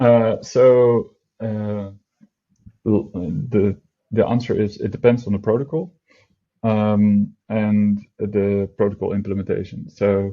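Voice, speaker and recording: With a non-native accent, a man speaks at a very slow pace in a fairly low voice, keeping a fairly even intonation and taking long, frequent pauses. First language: not English. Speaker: product team member, DeFi explainer. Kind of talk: casual explainer chat. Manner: halting, many fillers.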